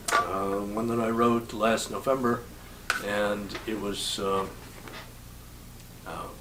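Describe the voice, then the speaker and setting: A man speaks very slowly at a fairly low pitch with monotone, flat intonation, with audible room echo and noticeable background noise. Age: 80s+. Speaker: singer-songwriter. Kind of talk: casual interview with guitar demonstration. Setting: home bungalow. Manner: halting, many fillers.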